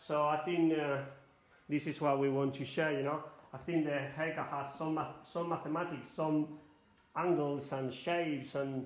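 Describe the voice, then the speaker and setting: In a room with audible echo, a man with a Spanish accent speaks with a fairly high pitch and monotone, flat intonation. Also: moderate pace. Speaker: hairdresser educator. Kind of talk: live demonstration tutorial. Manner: halting non-native English.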